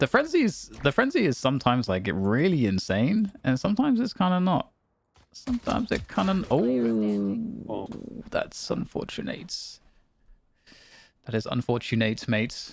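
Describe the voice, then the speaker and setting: A man with a British accent talks at a moderate pace. He leaves long, frequent pauses. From UK. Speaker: gaming streamer. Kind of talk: casual gaming stream chat.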